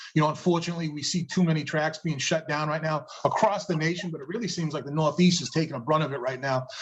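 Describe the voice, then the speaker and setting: Very fast and with fairly even intonation, a man speaks at a fairly high pitch in a slight New England accent. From New England, Massachusetts. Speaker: drag racing promoter. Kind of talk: casual interview chat.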